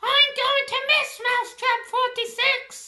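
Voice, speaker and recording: A squeaky, female-sounding put-on character voice, extremely high-pitched, fairly slow, with monotone, flat intonation. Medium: machinima.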